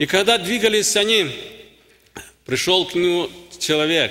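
Against a quiet background, a man speaks with a high pitch and a bright, sharp tone. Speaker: preacher. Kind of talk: sermon. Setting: church. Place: church. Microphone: podium.

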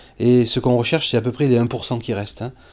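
A man's dark, mellow tone at a medium pitch. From southern France. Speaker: astrophysicist; teacher. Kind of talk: interview testimony. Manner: halting, many hesitations. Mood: calm, reflective. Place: classroom.

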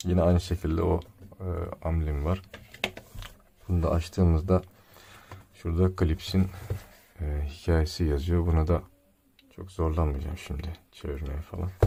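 Over noticeable background noise, a man with a very deep, low pitch speaks at a moderate pace in a monotone, flat way, with long, frequent pauses and big swings in loudness. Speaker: tech reviewer / YouTuber. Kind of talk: product unboxing review. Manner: casual, joking.

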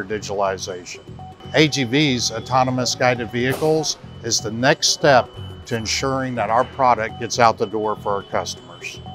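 Over clear background music, a man talks at a moderate pace with ordinary pitch variation, the sound dry with no echo. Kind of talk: interview answer. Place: factory.

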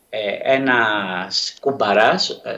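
A man speaks at a medium pitch with a fairly bright tone. Room echo is audible.

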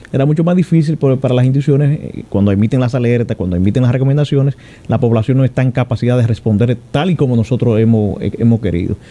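Talking at a very fast pace, a man keeps his loudness very even, his dark, mellow voice at medium pitch with ordinary pitch variation. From Dominican Republic. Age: 40s. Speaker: emergency operations director, army general. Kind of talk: radio interview. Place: studio. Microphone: studio mic.

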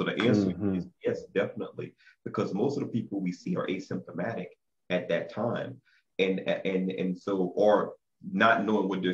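Against a quiet background, a man delivers his words at a moderate pace. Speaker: guest. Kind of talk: interview answer. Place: office. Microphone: video call.

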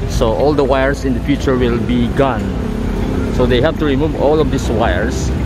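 The recording is dry with no echo, though loud background noise runs beneath it. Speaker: walking tour vlogger. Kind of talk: casual vlog commentary. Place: street. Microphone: phone near.

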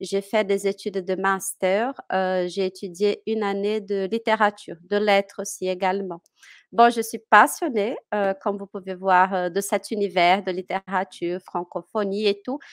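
A woman with a Portuguese accent at a fairly slow pace, fairly even intonation, a quiet background and a dry sound with no echo. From Brazil, Minas Gerais. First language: Portuguese (speaking French). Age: 30s. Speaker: French teacher. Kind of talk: interview. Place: home room. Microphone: headset.

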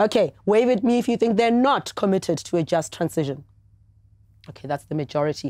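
At a fairly quick pace, a woman with a medium pitch and a dark, mellow tone makes very wide pitch swings, recorded in a dry sound with no echo and a quiet background. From South Africa. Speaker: TV debate host. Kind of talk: moderated TV debate. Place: studio.

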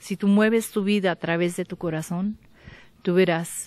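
Low-ish and dark, this woman's voice has a mellow tone and fairly low pitch. She speaks at a fairly slow pace in a dry sound with no echo. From Mexico, Michoacán. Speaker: visual artist; interviewee. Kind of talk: interview testimony. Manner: halting. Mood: warm, enthusiastic. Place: garden. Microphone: handheld.

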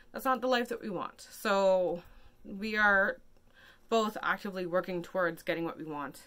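A woman with a bright, sharp tone speaks at a moderate pace. Her pitch varies in an ordinary way, while her loudness swings widely. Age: 30s. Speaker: vlogger. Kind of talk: casual vlog monologue. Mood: anxious, emotional, earnest. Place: home room. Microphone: phone near.

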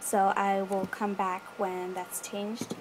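A woman talks fairly slowly while noticeable background noise runs behind her. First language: not English. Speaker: video editing tutorial maker. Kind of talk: casual screen-recorded tutorial voiceover. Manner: casual, hesitant with fillers.

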